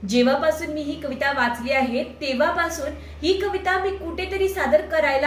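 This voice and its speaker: A woman talks in a high pitch with lively intonation. Noticeable background noise is present. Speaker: poet. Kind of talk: casual talk to camera.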